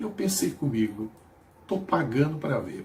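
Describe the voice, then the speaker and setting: A man's fairly high-pitched voice moves along at a moderate pace. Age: 60s. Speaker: missionary preacher. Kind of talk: sermon.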